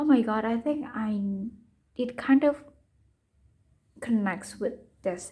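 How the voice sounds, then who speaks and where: Speaking at a very slow pace with a non-native accent, a woman uses a fairly high pitch, ordinary pitch variation and a dark, mellow tone, leaving long, frequent pauses. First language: not English. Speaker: tarot reader. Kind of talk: tarot reading monologue. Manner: halting.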